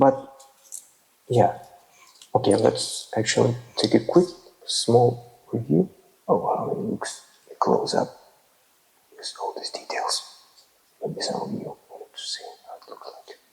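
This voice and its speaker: A man with a non-native accent, fairly slow, with big swings in loudness and long, frequent pauses. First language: not English. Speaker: toy figure reviewer. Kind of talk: ASMR toy review. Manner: soft-spoken; halting.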